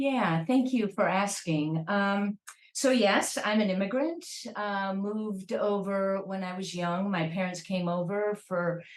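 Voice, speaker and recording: A woman with a Chicago accent at a medium pitch and a fairly slow pace. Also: ordinary pitch variation. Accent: American, Chicago. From US Midwest, Chicago. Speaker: professor. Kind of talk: interview.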